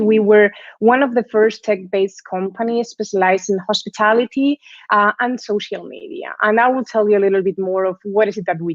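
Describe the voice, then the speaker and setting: The speaker has a Spanish accent and ordinary pitch variation. The pace is fairly quick. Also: woman. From Spain. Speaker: guest lecturer, sales executive. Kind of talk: lecture. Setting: live online class.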